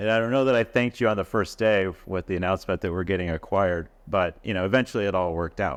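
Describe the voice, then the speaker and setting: Speaking at a very fast pace with hardly any pauses, a man with a fairly low pitch talks in an American accent. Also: ordinary pitch variation. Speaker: podcast host and business founder. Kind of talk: interview conversation. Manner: halting, many fillers.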